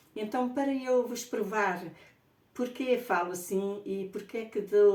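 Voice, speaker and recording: A woman's fairly slow speech in a room with audible echo. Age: 60s. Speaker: spiritual author. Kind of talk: personal testimony. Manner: halting.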